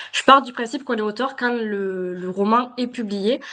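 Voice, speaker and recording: With a southern French accent, a woman talks at a fairly quick pace, her pitch fairly high and its variation ordinary. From southern France. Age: 30s. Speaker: self-published novelist. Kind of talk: podcast interview. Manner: hesitant, many fillers.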